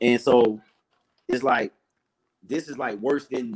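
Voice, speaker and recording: Here a man is speaking. His pace is fairly slow. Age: 30s. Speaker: sports fan, caller on stream. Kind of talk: casual chat.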